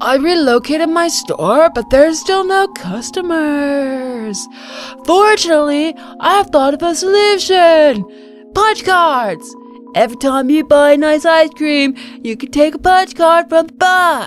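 A put-on, high-pitched character voice at a fairly slow pace, with clear music in the background. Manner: upbeat salesman.

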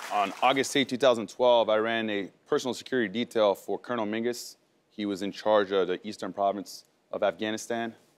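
A man at a fairly quick pace, with fairly low pitch and fairly even intonation. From France, moved to US at 11. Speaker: war veteran, medal recipient; guest. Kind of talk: talk show interview. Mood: serious, composed storytelling. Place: studio.

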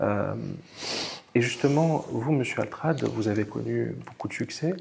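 The pace is fairly slow as this man talks. Pitch variation stays ordinary. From immigrant to France. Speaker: interview host. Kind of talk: interview. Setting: outdoors by the Mediterranean. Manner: hesitant, many fillers. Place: home room. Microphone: lapel.

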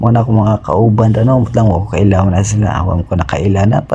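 Noticeable background noise accompanies speech at a fairly quick pace. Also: man. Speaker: travel vlogger, overseas worker. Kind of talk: travel vlog narration. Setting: airport. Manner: halting.

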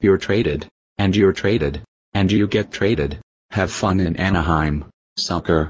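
A man's very deep, low voice at a moderate pace, very even in loudness, with ordinary pitch variation and long, frequent pauses. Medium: machinima. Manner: shocked, then manic and vindictive.

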